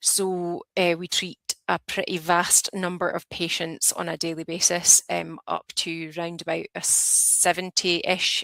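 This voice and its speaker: A woman's fairly low voice with a Scottish accent, bright and sharp in tone, monotone and flat, with hardly any pauses and a dry, close sound free of echo. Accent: Scottish, noticeable. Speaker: advanced nurse practitioner. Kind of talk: lecture. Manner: hesitant, many fillers.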